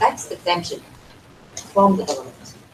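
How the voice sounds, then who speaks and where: Noticeable background noise sits under a voice with ordinary pitch variation. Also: woman. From Vietnam. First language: Vietnamese. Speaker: NGO representative, panelist. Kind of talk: panel discussion. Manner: halting, many fillers and repetitions.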